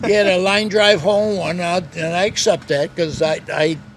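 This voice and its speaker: A man with an American accent speaks at a fairly quick pace in a high pitch, his intonation fairly even, with noticeable background noise. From Upstate New York. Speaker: retired businessman and former teacher. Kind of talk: casual interview storytelling.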